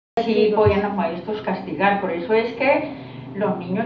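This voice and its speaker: This woman speaks at a fairly slow pace and a medium pitch. Room echo is audible, and noticeable background noise sits behind her. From Colombia, Santander. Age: 60s. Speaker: interviewee recalling rural childhood. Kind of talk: interview. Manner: hesitant.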